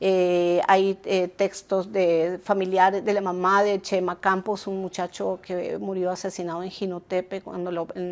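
A woman's monotone, flat delivery at a moderate pace with hardly any pauses. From Argentina, long life in Nicaragua. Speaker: journalist and author; journalist. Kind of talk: interview. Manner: halting, many fillers. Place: home room.

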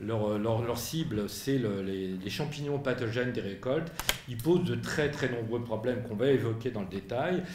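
A man speaks at a fairly slow pace. His intonation is lively, and there is audible room echo. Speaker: association president, moderator. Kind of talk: press conference. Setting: press room with audience. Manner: articulate speaker. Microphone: podium.

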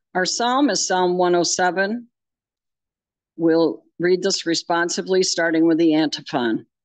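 A woman speaks at a very slow pace with lively intonation and very even loudness. Her fairly low pitch sounds dry with no echo against a quiet background. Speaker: lay scripture reader. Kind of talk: reading aloud. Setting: church. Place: church.

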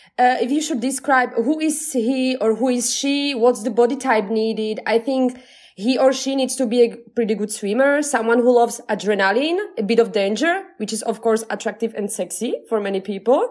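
A high-pitched woman with a Slovak accent speaks at a moderate pace with ordinary pitch variation and hardly any pauses. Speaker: podcast host. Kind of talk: casual chat. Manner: animated.

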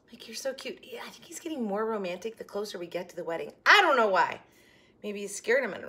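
A woman projects her raised voice with a bright, sharp tone. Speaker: haul vlogger. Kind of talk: casual vlog chat. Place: kitchen.

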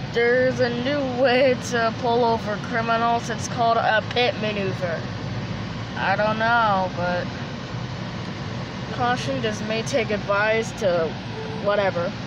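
The speech moves at a fairly slow pace under loud background noise, with a dry sound and no echo. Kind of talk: casual vlog chat. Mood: amused, surprised. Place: car. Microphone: phone near.

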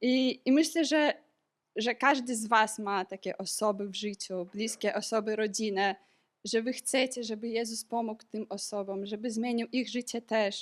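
A normal speaking voice from a woman, fairly high in pitch with fairly even intonation, at a moderate pace in a very clean recording with a silent background. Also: dry, close sound with no echo. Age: 20s. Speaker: medical student sharing a church testimony. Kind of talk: testimony.

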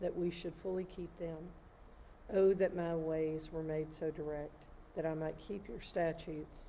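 At a fairly slow pace, a woman speaks with fairly even intonation over light background noise. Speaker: clergy or lay reader. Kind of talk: liturgical psalm reading. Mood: calm, measured, devotional. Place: church. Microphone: phone near.

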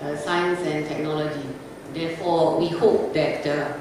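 Amid strong room echo and noticeable background noise, a woman with a fairly low pitch speaks fairly slowly in a flat monotone. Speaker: conference presenter. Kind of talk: lecture. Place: hall.

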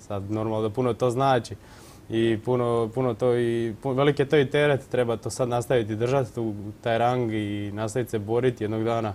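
This man talks at a fairly quick pace in a medium pitch with a monotone, flat delivery. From Croatia, Vukovar; Croatia. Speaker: rower, athlete; interview guest. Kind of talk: TV studio interview. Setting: TV studio. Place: studio. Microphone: lapel.

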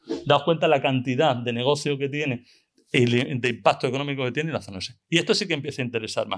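Against a quiet background, a man speaks at a very fast pace, his pitch fairly high with ordinary variation. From Extremadura, Spain (La Vera area); Extremadura, Spain. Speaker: veterinarian and conference speaker; conference speaker. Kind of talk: conference talk; Q&A reply. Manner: halting, with many repetitions. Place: hall. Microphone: podium.

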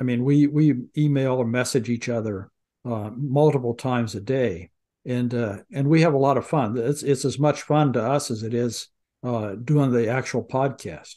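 A man's medium-pitched, dark, mellow voice at a moderate pace, with ordinary pitch variation and a quiet background. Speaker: podcast co-host. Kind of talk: casual chat.

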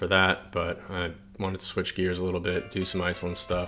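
A man speaks in a very deep, low pitch at a fairly quick pace. His intonation is monotone and flat, with clear music in the background. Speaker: travel vlogger. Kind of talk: casual vlog chat. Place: home room.

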